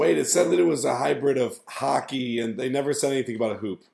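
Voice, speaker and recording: A man talks very fast at medium pitch, with lively intonation and vocal fry. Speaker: podcast co-host. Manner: joking, banters with co-hosts.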